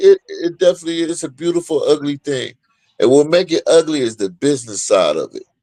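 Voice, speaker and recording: In a dry, close sound with no echo, a man speaks with big swings in loudness. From Ohio, US. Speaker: professional boxer. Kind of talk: casual interview chat.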